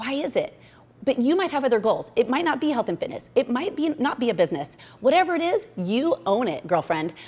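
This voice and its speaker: Animated in tone, a woman talks at a fairly quick pace in a high voice with very wide pitch swings. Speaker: motivational vlogger. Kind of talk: motivational talk to camera. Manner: fast.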